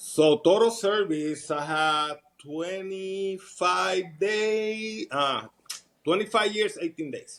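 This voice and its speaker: Very slowly, a man with a Puerto Rican accent speaks in a high pitch with ordinary pitch variation. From Puerto Rico. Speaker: retired army sergeant. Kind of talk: casual interview.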